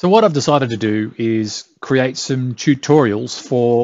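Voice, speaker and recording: This man has a medium pitch and an Australian accent. His pitch varies in an ordinary way. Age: middle-aged. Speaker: tech tutorial youtuber. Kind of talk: tutorial. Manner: casual, with fillers and hesitations.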